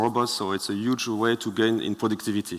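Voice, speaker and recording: Speaking in a French accent, a man talks at a very fast pace. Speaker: startup founder. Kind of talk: Q&A with judges. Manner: halting.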